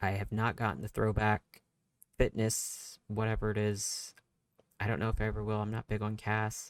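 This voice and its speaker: A man's fairly low voice at a moderate pace. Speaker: gaming YouTuber. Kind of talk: casual voice-over commentary.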